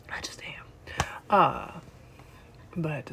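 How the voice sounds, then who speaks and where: A soft-spoken woman's voice. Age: 30s. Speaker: vlogger. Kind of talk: casual chat. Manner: animated. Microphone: no microphone.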